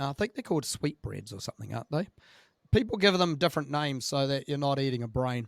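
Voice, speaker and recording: In a New Zealand accent, a man with a fairly high pitch speaks with lively intonation, the sound dry and close with no echo. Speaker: podcast host. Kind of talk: casual interview chat.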